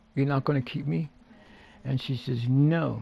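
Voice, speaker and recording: A man with fairly high pitch speaks in a somewhat breathy voice with a dark, mellow tone. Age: 60s. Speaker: gaming streamer and vlogger. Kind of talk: casual gameplay chat.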